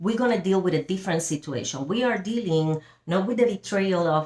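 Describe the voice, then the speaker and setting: A woman speaks with a strong Spanish accent and lively intonation. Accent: big Spanish. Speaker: Bible study teacher. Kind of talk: Bible study teaching. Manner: halting, with fillers.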